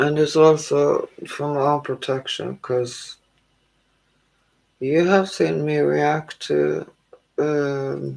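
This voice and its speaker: The pace is very slow. Long pauses come often. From Canada. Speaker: tarot reader. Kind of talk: live stream chat. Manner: calm.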